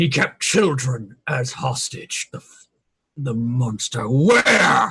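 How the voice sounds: Putting on a raspy, growling character voice, a man speaks at medium pitch and a very slow pace.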